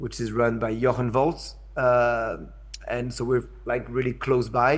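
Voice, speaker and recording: A man speaks with a French accent. His pitch sits in the medium range. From France. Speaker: arts institution director. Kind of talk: talk. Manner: hesitant, many fillers.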